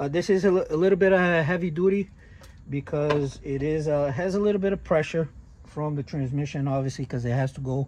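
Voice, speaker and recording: Somewhat breathy and at a fairly quick pace, the voice carries a Brazilian accent and ordinary pitch variation. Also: man. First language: Portuguese. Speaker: tow truck owner and vlogger. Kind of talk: casual tutorial. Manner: halting, many fillers.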